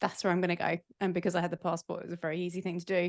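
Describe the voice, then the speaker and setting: With an English accent, a woman speaks at medium pitch in a dry, close sound with no echo. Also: quiet background. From England. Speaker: podcaster and entrepreneur. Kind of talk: casual podcast interview.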